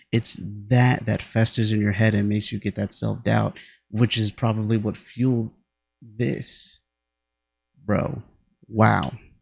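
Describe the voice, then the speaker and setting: Over a quiet background, a somewhat breathy voice proceeds at a fairly slow pace with long, frequent pauses. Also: man, fairly low pitch for a man, fairly even intonation. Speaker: music reaction youtuber. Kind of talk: casual reaction commentary. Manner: halting, self-correcting.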